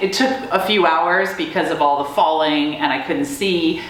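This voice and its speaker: With an American accent, a woman with a fairly low pitch speaks at a fairly slow pace and with lively intonation. Audible room echo and noticeable background noise surround her. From US, Maryland. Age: 50s. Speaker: army veteran. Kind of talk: interview testimony.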